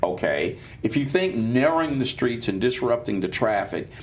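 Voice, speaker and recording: The speaker has an American accent and lively intonation. Audible room echo surrounds the voice. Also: man. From Chicago, West Side. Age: 60s. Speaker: pastor and political commentator. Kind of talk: panel discussion. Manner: halting, many restarts.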